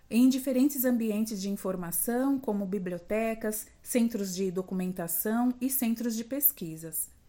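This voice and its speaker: With hardly any pauses, a woman speaks at a fairly slow pace in a fairly high pitch, her dark, mellow tone showing ordinary pitch variation. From Brazil, São Paulo city (east zone periphery). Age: 50s. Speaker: librarian. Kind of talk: prepared monologue.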